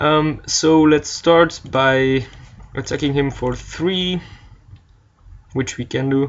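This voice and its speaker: A man with a non-native accent, fairly high-pitched, talking at a very slow pace with fairly even intonation and long, frequent pauses. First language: not English. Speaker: card game player narrating gameplay. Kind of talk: gameplay commentary. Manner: hesitant, many fillers.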